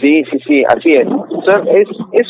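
A man with an Argentine Litoral accent, music playing behind him. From Argentina, Entre Ríos (Concordia). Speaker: guitarist and composer. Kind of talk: interview.

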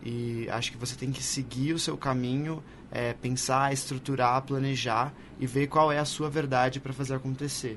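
A man at medium pitch talks at a moderate pace in a monotone, flat delivery. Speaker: podcaster and advertising professional. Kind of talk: live panel discussion. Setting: stage with audience.

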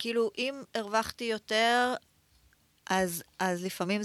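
The recording is very clean, with a silent background. A woman speaks at a medium pitch. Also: dry, close sound with no echo. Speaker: entrepreneur, former fashion designer. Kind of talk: interview, personal story.

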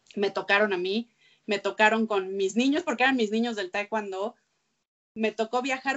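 This woman has a medium pitch and ordinary pitch variation. She speaks at a moderate pace. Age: 30s. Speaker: sports journalist. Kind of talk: interview conversation. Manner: halting with repeated words.

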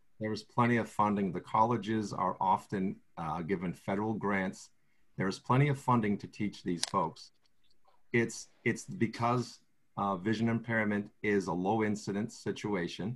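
Speaking in an unremarkable speaking voice with an American accent, a man with fairly low pitch keeps a moderate pace and fairly even intonation. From southeastern Massachusetts. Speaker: state agency official for the blind. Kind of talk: video conference discussion. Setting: video call.

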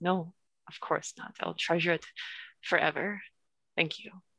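At a moderate pace, a raspy put-on character voice speaks at a middle pitch. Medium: actual play. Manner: eager, chatty.

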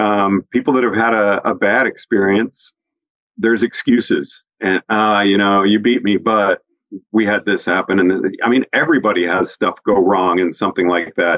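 A man's unremarkable speaking voice, fairly low in pitch, at a moderate pace with fairly even intonation and very even loudness. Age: 60s. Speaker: ski instructor and podcast host. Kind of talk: casual chat.

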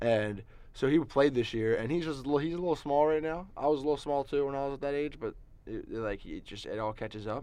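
A very fast pace with ordinary pitch variation and a dark, mellow tone. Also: man, fairly high pitch for a man. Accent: American. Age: 20s. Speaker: college student and sports reporter. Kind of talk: casual chat. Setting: studio. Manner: halting, repeats words.

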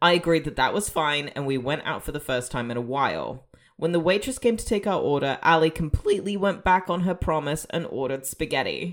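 At a fairly quick pace with hardly any pauses, a woman with a fairly low pitch and lively intonation uses a normal speaking voice on a very clean recording with a silent background. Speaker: podcast host. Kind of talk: casual chat.

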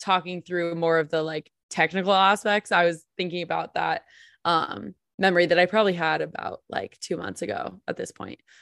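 A woman with an American accent talks at a moderate pace, her fairly low pitch carrying vocal fry and fairly even intonation. The sound is dry and close with no echo, over a quiet background. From New Jersey. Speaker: podcast co-host. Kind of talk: podcast interview. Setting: video call.

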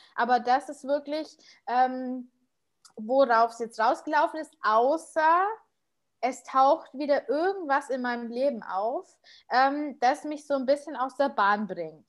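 Against a quiet background, a woman with a high pitch speaks very slowly in a Bavarian accent, her pitch varying an ordinary amount. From Munich, Bavaria. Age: 30s. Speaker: podcaster. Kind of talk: interview.

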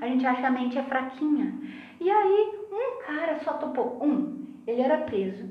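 A woman's high voice with a Rio Grande do Sul accent and lively intonation, with audible room echo. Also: moderate pace. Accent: sounds gaúcho (southern Brazilian). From Santa Catarina, Brazil (Lages). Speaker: pharmacist and spiritist speaker. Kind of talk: casual chat.

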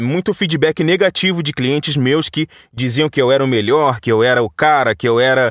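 On a very clean recording with a silent background and a dry, close sound with no echo, a man speaks at a moderate pace with ordinary pitch variation. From Vassouras, interior of Rio de Janeiro state, Brazil. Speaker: voice-over artist and radio announcer. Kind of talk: casual interview. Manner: conversational, natural delivery; halting, frequent repetitions.

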